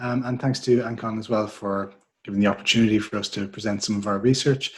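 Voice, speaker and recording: A man speaks at a very fast pace with an Irish accent. His voice is somewhat breathy and sits at a medium pitch. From Ireland. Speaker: market research director. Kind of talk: webinar presentation.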